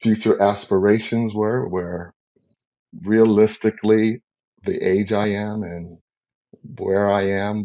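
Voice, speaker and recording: Pausing long and often at a very slow pace, a man with an American accent speaks in a fairly low pitch and a dark, mellow tone with monotone, flat intonation. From US South, New Orleans. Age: 60s. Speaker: singer-songwriter and cookbook author. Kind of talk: interview.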